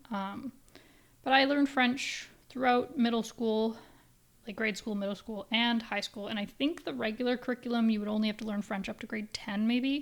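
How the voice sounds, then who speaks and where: At a moderate pace, a woman with a Canadian accent speaks in a fairly high voice with fairly even intonation. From English-speaking Canada. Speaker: podcast host. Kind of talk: casual solo podcast chat. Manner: low energy; halting, rambling with restarts.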